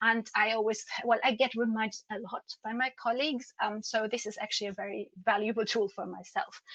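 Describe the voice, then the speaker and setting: Her tone is bright and sharp, with a German accent. This woman's pitch sits fairly high. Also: dry, close sound with no echo. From Germany. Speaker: patient advocate. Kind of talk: conference presentation.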